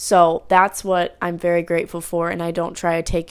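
A woman with fairly low pitch and an ordinary speaking voice talks at a moderate pace on a very clean recording with a silent background. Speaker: solo podcaster, college student. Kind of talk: casual personal update monologue. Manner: chatty, many fillers.

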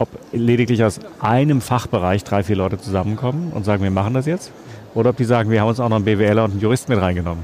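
A man's fairly low voice at a very fast pace. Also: ordinary pitch variation. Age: 50s. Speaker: publisher. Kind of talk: interview. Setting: book fair.

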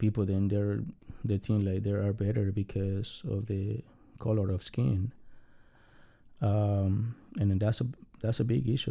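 A man's dark, mellow voice, fairly low in pitch, at a fairly slow pace with ordinary pitch variation. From Mexico City. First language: Spanish. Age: 40s. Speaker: immigrant. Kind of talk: personal interview. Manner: halting.

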